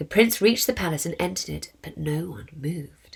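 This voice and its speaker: Her voice has vocal fry and a fairly low pitch as this woman speaks at a moderate pace. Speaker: charity co-founder. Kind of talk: children's story reading.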